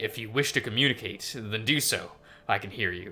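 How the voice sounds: A man puts on a rumbling character voice at medium pitch. He moves at a fairly quick pace with ordinary pitch variation.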